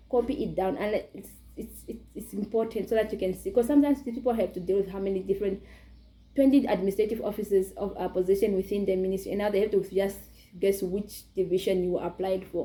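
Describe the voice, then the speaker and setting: Somewhat breathy and dark, mellow in tone, the voice races along at a very fast pace with ordinary pitch variation. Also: woman, medium pitch for a woman. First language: not English. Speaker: YouTuber. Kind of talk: tutorial. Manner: halting.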